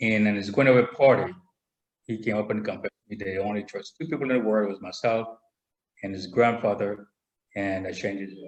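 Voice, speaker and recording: Speaking with a Spanish accent at a fairly quick pace, a man with a fairly low pitch and ordinary pitch variation makes big swings in loudness and takes long, frequent pauses. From Panama. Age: 60s. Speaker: military veteran. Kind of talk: interview. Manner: halting. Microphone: too quiet, far from computer.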